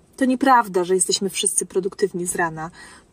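A woman is speaking. Her tone is animated. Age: 40s. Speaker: podcaster and mother. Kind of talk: casual chat with her child. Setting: in a car.

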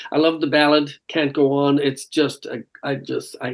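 A man with an Irish accent speaks at a fairly high pitch in a monotone, flat intonation. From Ireland. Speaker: rock singer. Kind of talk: casual interview. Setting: remote call.

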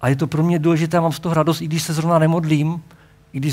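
Speaking very fast, a man keeps his voice fairly high. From Czechia, Hradec Králové region. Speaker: pastor. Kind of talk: sermon.

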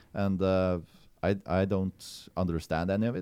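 In a Norwegian accent, a man speaks with a very deep, low pitch and a dark, mellow tone. The background is quiet. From rural Norway. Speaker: stand-up comedian. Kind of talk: casual chat. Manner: halting.

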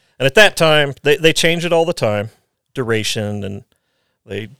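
A man's unremarkable speaking voice with lively intonation and a moderate pace, dry and close with no echo, on a very clean recording with a silent background. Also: big swings in loudness. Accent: American. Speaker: Special Forces soldier, former police officer. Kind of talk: casual chat.

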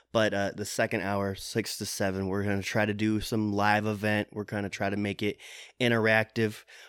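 Speaking at a moderate pace, a man uses a fairly low pitch and a Midwestern US accent. His intonation is monotone and flat on a very clean recording with a silent background. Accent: US Midwest. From Iowa, Des Moines area. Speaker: podcast co-host. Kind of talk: casual chat.

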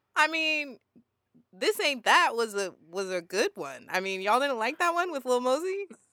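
A woman's raised, projected, high-pitched voice with very wide pitch swings. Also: moderate pace. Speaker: podcast co-host. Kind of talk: casual chat.

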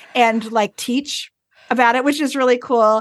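An unremarkable speaking voice with an American accent, at a moderate pace. Intonation stays fairly even, and the sound is dry and close with no echo. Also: woman. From US Northeast, rural northern Vermont. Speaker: music professor and tuba player. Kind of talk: interview.

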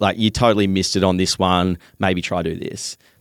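A man speaks with an Australian accent. The sound is dry and close with no echo, in a very clean recording with a silent background. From Western Australia. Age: 20s. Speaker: fitness content creator. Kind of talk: casual chat.

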